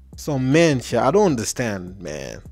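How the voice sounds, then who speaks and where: A man's voice over clear music in the background. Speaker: reaction video host. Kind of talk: casual commentary. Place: home room. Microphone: handheld.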